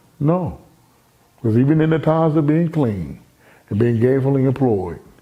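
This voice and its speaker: Audible room echo surrounds a man who speaks at a fairly high pitch and moderate pace, with lively intonation and very even loudness. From Baltimore, Maryland. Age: 50s. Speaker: motivational speaker. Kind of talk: personal testimony. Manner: animated.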